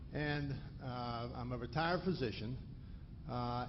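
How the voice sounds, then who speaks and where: Audible room echo surrounds a man's somewhat breathy voice. His pitch varies in an ordinary way. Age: 60s. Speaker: retired physician, audience member asking a question. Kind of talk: audience question at a lecture. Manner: halting, many restarts.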